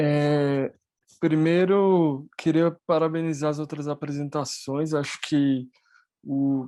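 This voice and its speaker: Everything behind the voice is quiet. The speaking pace is very slow. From Latin America. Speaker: conference panelist. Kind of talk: academic panel discussion. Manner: halting, many fillers.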